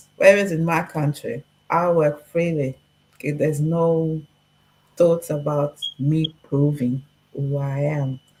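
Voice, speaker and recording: A woman's very deep, low, somewhat breathy voice, monotone and flat, at a fairly slow pace with long, frequent pauses. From Portugal. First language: Portuguese. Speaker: discussion guest. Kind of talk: casual chat. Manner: direct.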